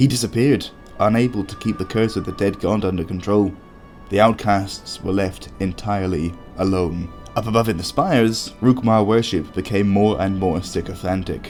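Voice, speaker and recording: With music in the background, a man speaks at a moderate pace, his fairly low pitch showing ordinary variation. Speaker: lore video narrator. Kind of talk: game lore storytelling narration.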